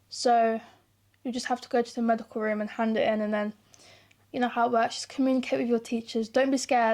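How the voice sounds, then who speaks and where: A woman with a British accent speaks very fast at a fairly high pitch in a flat monotone. The recording is very clean, with a silent background. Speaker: YouTuber. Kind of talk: casual advice monologue to camera. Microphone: new mic.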